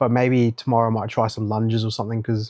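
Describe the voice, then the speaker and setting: Mumbled speech in a monotone, flat intonation comes through a dry, close sound with no echo. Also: man. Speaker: vlogger. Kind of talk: casual video diary. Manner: mumbling.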